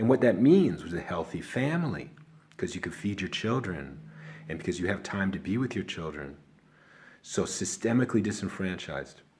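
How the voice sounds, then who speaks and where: A man's fairly low voice in a Chicago accent, at a moderate pace with very wide pitch swings. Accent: Chicago American. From Chicago, South Side. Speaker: video blogger. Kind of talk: casual talk to camera. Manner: rambling, halting.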